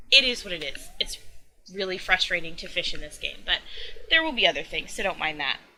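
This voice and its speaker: Lively intonation with big swings in loudness, in an American accent. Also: woman, medium pitch for a woman. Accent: slight Southern drawl at times. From US Southeast. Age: 20s. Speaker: gaming YouTuber. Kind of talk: casual vlog talk.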